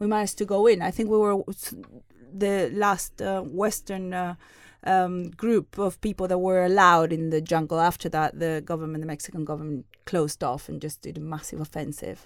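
A woman with a Spanish accent talks at a fairly quick pace in a fairly low voice with ordinary pitch variation. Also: big swings in loudness, very clean recording, silent background. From southern Spain (Seville). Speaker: human rights lecturer. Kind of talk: casual chat. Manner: halting.

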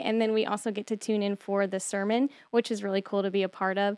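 Against a quiet background, a woman speaks with an American accent. Her pace is very fast. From Texas. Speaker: church outreach director. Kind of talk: casual radio interview. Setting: radio studio.

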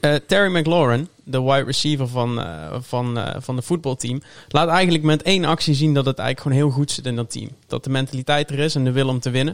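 A man's unremarkable speaking voice, fairly high-pitched, quick-paced, with ordinary pitch variation. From Tilburg, southern Netherlands. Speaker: NFL fan and podcast guest. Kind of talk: casual chat.

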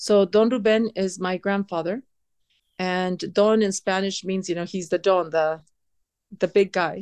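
Slow-paced and fairly even in intonation, a woman with an unremarkable speaking voice talks at medium pitch in a dry, close sound with no echo. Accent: American. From US West Coast, San Diego. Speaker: restaurant owner. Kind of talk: interview.

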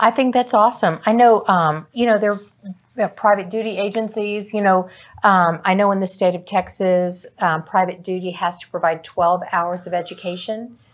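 A woman with a normal speaking voice, medium in pitch, at a moderate pace with fairly even intonation. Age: 60s. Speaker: senior care podcast co-host. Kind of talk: casual discussion.

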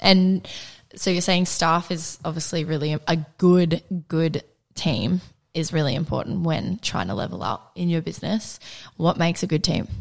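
Speaking at a moderate pace in an ordinary speaking voice, a woman with fairly low pitch shows ordinary pitch variation. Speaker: podcast host. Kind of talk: casual interview chat.

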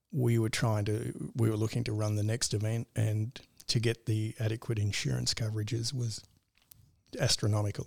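Over a silent background in a very clean recording, a man with an Australian accent speaks at a moderate pace in a somewhat breathy voice. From rural northern Victoria, Australia. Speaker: cybersecurity business owner. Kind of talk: interview.

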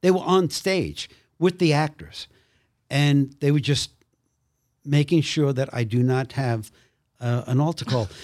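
A man with an American accent talks at a fairly slow pace and fairly high pitch, with ordinary pitch variation and long, frequent pauses. The recording is very clean, with a silent background. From Brooklyn, New York. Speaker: actor. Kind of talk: testimony.

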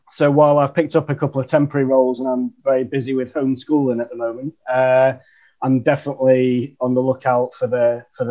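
In a northern English accent, a man speaks at a fairly quick pace with a medium pitch and monotone, flat intonation. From northern England, Chesterfield. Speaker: marketer. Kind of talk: casual chat.

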